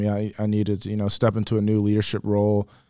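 In an American accent, the speaker talks at a fairly quick pace. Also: man. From US South. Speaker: college football player. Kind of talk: interview. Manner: halting.

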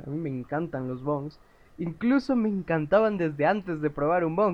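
A man with a Mexican accent speaks at a high pitch with lively intonation. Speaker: podcast host. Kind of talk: casual monologue. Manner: halting, with frequent laughs.

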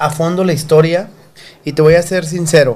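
This is an ordinary speaking voice, moving at a fairly slow pace. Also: man. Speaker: podcast host. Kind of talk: casual chat. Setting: studio.

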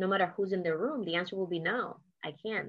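This woman has an ordinary speaking voice at a medium pitch and talks at a fairly quick pace. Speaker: podcast host. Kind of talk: interview.

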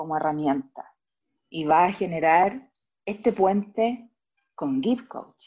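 Speaking at a very slow pace, a woman has a medium pitch, a dark, mellow tone and lively intonation. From central Chile, Talca. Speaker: nurse and coach. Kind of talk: casual interview chat.

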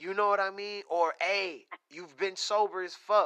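A man speaks slowly-ish, at a fairly slow pace, in a high, raised and projected voice. His tone is animated, bright and sharp. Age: 30s. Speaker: podcast host. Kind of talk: casual interview.

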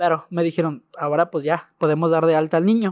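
A man's voice with fairly even intonation, a dry, close sound without echo, and a quiet background. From Mexico, Ciudad Juárez, Chihuahua. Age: 20s. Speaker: churchgoer sharing a faith story. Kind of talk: testimony.

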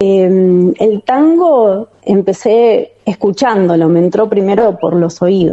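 At a very slow pace, a woman speaks with medium pitch, ordinary pitch variation and very even loudness. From Argentina, San Miguel, Buenos Aires province. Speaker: dancer. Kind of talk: interview. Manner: halting.

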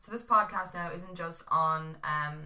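A woman's bright, sharp, fairly low voice in an Irish accent, at a moderate pace. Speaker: podcast host. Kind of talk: casual chat. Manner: animated.

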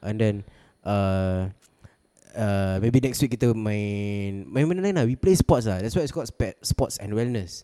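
A man's fairly low voice at a very slow pace, with ordinary pitch variation and a dry, close sound with no echo. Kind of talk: casual chat. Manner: joking, playful.

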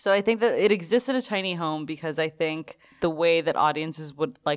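At a moderate pace, a woman with a fairly low pitch speaks with lively intonation. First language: Spanish. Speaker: podcast co-host. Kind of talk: casual chat.

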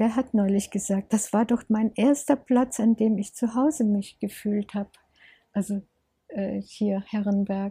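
A woman with a somewhat breathy, fairly high voice and a dark, mellow tone speaks at a fairly slow pace with fairly even intonation, the sound dry and close with no echo on a very clean recording with a silent background. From Munich, Bavaria. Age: 80s+. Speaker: volunteer for refugees. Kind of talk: interview.

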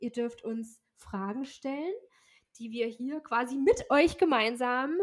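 A woman talks with a high pitch. Lively intonation runs through her speech. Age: 30s. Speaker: podcast co-host, mother. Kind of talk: casual chat.

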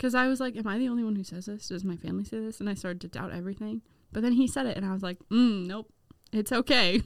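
Speaking at a very fast pace with a Midwestern American accent, a woman with a fairly high pitch and ordinary pitch variation is heard in a very clean recording with a silent background. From US Midwest. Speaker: campus ministry leader. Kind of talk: casual chat.

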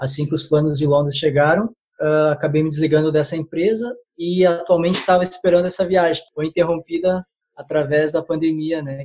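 The man's delivery moves at a fairly quick pace. Intonation remains fairly even. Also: fairly high pitch for a man. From Brazil. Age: 30s. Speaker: physical education teacher. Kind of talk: interview. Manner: halting.

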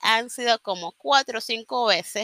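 A woman speaks at a fairly slow pace with a Nicaraguan accent. Her tone is bright and sharp, and her intonation is lively. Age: 30s. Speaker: journalist and podcaster. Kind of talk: casual monologue. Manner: improvised, hesitant.

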